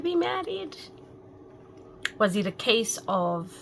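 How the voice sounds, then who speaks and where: A woman's medium-pitched voice with very wide pitch swings over noticeable background noise. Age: 50s. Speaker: talk show host. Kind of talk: casual talk to camera.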